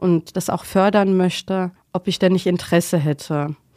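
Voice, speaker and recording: A woman speaks at a fairly slow pace with a fairly low pitch. Her tone is dark and mellow, and the sound is dry and close with no echo. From Germany, Mainz (Rhineland-Palatinate). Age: 40s. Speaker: tram driver. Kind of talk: interview.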